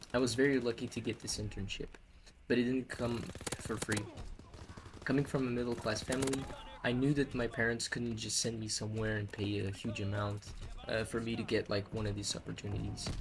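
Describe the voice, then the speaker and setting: Over noticeable background noise, a man speaks at a fairly quick pace with a medium pitch and monotone, flat intonation. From Portugal. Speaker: hospitality worker and vlogger. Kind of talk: personal vlog storytelling.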